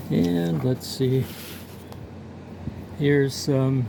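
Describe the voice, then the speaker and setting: Speaking at a very slow pace, a man uses a medium-pitched voice. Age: 70s. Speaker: picture framer and artist. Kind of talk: casual vlog monologue. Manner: halting, many fillers.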